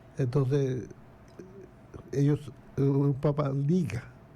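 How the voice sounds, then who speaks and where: The speaker is a man with a medium-pitched voice. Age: 80s+. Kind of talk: casual interview.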